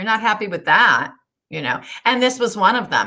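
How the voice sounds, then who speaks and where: At a moderate pace, a woman talks at medium pitch in a plain, everyday voice. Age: 60s. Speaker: weight-loss success story guest. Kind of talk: interview.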